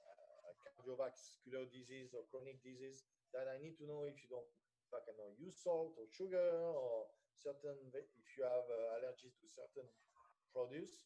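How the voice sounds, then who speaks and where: A man speaks with a French accent at a moderate pace. His loudness swings widely. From France. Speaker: personal chef. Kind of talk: radio interview. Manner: halting, many fillers.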